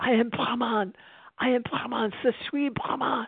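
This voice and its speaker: A raspy, put-on character voice shouts at a fairly high pitch. The act comes with a French accent. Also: moderate pace. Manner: shouting, fervent.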